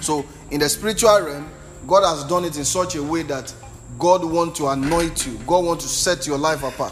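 A man speaks at a moderate pace in a fairly high pitch, with an animated tone and ordinary pitch variation, while music plays in the background. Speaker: preacher. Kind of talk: sermon. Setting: church with live congregation. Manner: animated, rhetorical, call-and-response with the congregation; emphatic, repeating lines for effect.

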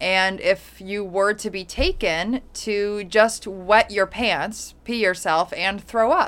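A woman talks very slowly with hardly any pauses, at a medium pitch with ordinary pitch variation. The recording is very clean and the background silent. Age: 30s. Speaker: podcast co-host. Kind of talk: casual chat.

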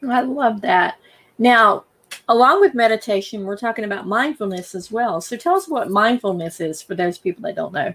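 A woman speaks with a plain, everyday voice at a moderate pace. Her pitch is fairly high and her intonation lively. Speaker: podcast host. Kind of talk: casual interview chat. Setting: video call.

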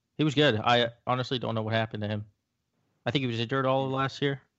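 A man speaks with an American accent at a very fast pace. His pitch is medium and his intonation fairly even. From South Florida. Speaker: sports podcast co-host and editor. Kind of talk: casual chat.

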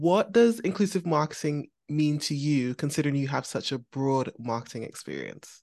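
Over a quiet background, a woman with a very deep, low, dark and mellow voice talks with lively intonation and hardly any pauses. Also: moderate pace. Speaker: podcast host. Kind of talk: casual interview chat.

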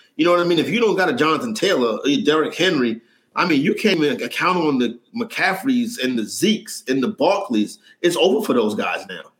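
In a New York accent, a man speaks at a high pitch and fairly quick pace with very wide pitch swings. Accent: New York City. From New York City (Harlem). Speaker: sports betting analyst. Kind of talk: casual chat.

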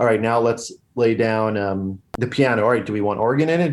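A man's unremarkable speaking voice, medium in pitch with ordinary variation, at a fairly quick pace in a very clean recording with a silent background. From Long Island, New York. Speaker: comedian and musician. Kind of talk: casual chat.

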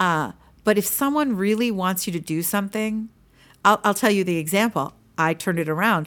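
A woman with an American accent and a normal speaking voice talks at a fairly quick pace in a medium pitch with ordinary pitch variation. The recording is very clean, with a silent background. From Pennsylvania. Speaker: public speaking coach and author. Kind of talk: casual interview chat. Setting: studio.

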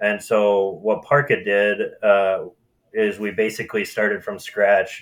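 A man with an Upper Midwest accent speaks at a moderate pace. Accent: Upper Midwest American. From Minnesota (Marshall, southwest). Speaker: marketing agency president. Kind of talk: casual interview.

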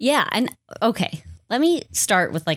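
On a very clean recording with a silent background, a woman speaks at a fairly slow pace with a Wisconsin accent. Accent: Upper Midwest (Wisconsin). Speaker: podcast co-host. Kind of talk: casual chat.

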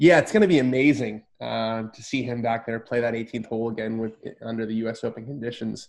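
Speaking at a fairly quick pace, a man with a plain, everyday voice and an American accent keeps a medium pitch and fairly even intonation. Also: big swings in loudness. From US, Southern California. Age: 20s. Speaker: golf journalist. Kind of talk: casual interview.

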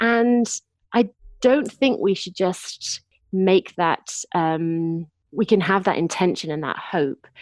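Her intonation lively, a woman speaks very slowly at medium pitch. The sound is dry and close, with no echo. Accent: English. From Lincolnshire, England. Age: 30s. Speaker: novelist. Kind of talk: casual interview.

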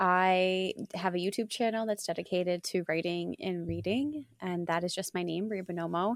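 In a very clean recording with a silent background, a woman talks at a moderate pace and medium pitch, with ordinary pitch variation and hardly any pauses. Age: 30s. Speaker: writer and mental health counselor. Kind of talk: casual chat. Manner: smooth, well-modulated.

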